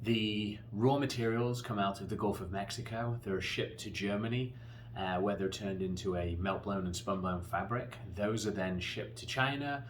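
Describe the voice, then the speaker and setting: In a room with audible echo, a man with an English accent speaks at a fairly low pitch with fairly even intonation. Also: moderate pace. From England. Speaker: company founder pitching a manufacturing project. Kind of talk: promotional pitch. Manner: earnest, with frequent fillers.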